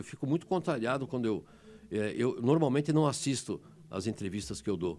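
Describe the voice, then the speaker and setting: His pitch medium and swinging very widely, a man talks in a dark, mellow tone. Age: 60s. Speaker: emergency doctor. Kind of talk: interview. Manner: animated, emotional; halting, many repetitions.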